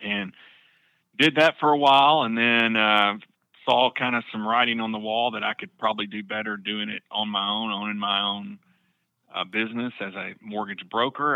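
Fairly even intonation in an Arkansas accent. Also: man. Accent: Southern US (Arkansas). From South Arkansas (Camden). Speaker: mortgage loan officer. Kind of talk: casual interview.

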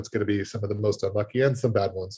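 Over a quiet background, a man with a medium pitch and a somewhat breathy voice talks at a very fast pace. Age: 40s. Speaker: fantasy baseball podcast curator. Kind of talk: casual chat. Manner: halting, many fillers.

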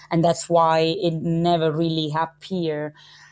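Speaking in an Italian accent, a woman with a very deep, low pitch moves at a fairly slow pace. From Italy, Calabria (Gioia Tauro). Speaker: criminology professor. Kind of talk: interview.

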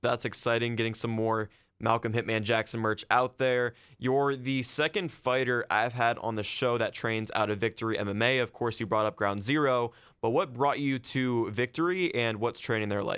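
In a plain, everyday voice, a man speaks at a medium pitch and moderate pace with ordinary pitch variation and very even loudness, on a very clean recording with a silent background. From Ohio. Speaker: podcast host. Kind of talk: interview.

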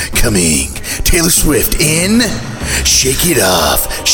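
A man's put-on character voice at a very slow pace over loud background noise. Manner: dramatic, trailer-style.

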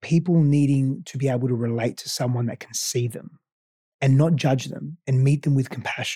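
Somewhat breathy and dark, mellow in tone, a man with an Australian accent and fairly high pitch speaks at a fairly quick pace. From Greece and Australia. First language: Greek. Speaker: life coach. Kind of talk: interview conversation.

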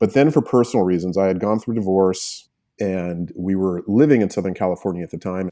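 Very deep and low, the man's voice carries ordinary pitch variation. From New Mexico, Albuquerque. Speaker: veterinarian. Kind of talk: interview.

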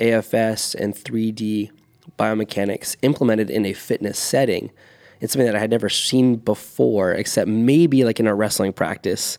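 This man has an unremarkable speaking voice, medium in pitch, with ordinary pitch variation and a moderate pace. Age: 30s. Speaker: fitness coach and program designer. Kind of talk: casual chat.

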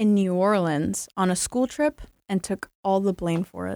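A woman speaks with a normal speaking voice at a medium pitch. The recording is very clean, with a silent background and a dry, close sound with no echo. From North Carolina. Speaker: storytelling podcast guest. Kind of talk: casual storytelling chat.

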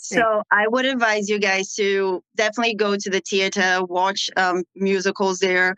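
A woman at medium pitch speaks at a moderate pace in a monotone, flat delivery. Her loudness stays very even, and the sound is dry and close with no echo. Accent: Portuguese. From Brazil. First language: Portuguese. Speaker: international nurse. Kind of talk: casual interview.

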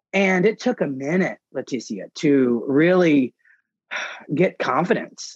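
Speaking very slowly with lively intonation, a man with a fairly high voice comes through dry and close, without echo. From US South, Mississippi. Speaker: parenting blogger and author. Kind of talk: interview conversation.

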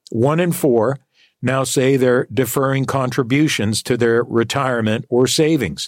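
In a dry, close sound with no echo, a man with an unremarkable speaking voice talks at a medium pitch and a fairly slow pace, his intonation fairly even and his loudness very even. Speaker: fill-in radio talk show host. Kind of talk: call-in talk radio. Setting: radio studio.

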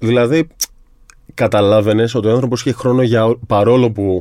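At a moderate pace, a man talks at a medium pitch in an ordinary speaking voice, his loudness very even throughout. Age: 30s. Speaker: sports psychologist. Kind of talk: casual interview chat.

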